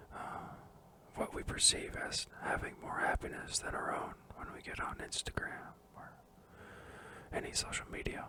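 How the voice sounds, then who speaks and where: A man whispers at a moderate pace. Noticeable background noise runs behind him. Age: 20s. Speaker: ASMR creator. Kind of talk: book review, casual talk to camera. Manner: soft-spoken, whispering.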